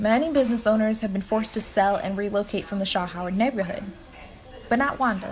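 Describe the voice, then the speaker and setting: Talking very fast with an American accent, a woman speaks at a fairly high pitch over noticeable background noise. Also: ordinary pitch variation. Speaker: student journalist, news reporter. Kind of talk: news reporter piece to camera, broadcast-style narration.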